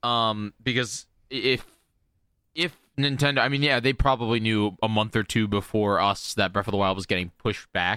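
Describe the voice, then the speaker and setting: A man at medium pitch with a bright, sharp tone, ordinary pitch variation, and a moderate pace, on a very clean recording with a silent background. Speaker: video game streamer. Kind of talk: casual chat. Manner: loud; animated.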